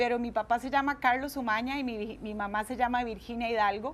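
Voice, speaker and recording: A woman's high voice with a Costa Rican accent. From Costa Rica, Guadalupe. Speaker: speaker giving testimony. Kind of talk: tv interview. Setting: tv studio.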